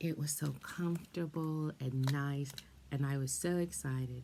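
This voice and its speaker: A woman's voice, very deep and low in pitch, warm with a dark, mellow tone, somewhat breathy and fairly even in intonation. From born in England to Jamaican parents, grew up in Canada and Brooklyn, New York. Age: 50s. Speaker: retired school librarian and storyteller. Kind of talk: storytelling to kids. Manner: warm, conversational.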